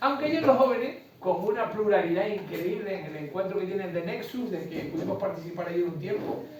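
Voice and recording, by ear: Strong room echo surrounds the voice. It moves at a fairly quick pace with ordinary pitch variation. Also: man, high pitch for a man.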